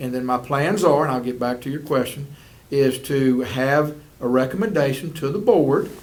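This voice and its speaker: A man's fairly high voice in a Southern US accent, at a moderate pace, with audible room echo. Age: 60s. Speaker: school superintendent. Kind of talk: interview.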